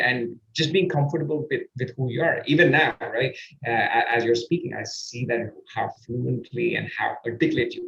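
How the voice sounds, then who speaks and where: A man talks at a moderate pace. He has an Indian accent. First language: Indian language. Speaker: podcast host and performance coach. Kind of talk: interview conversation. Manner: halting, searching for words.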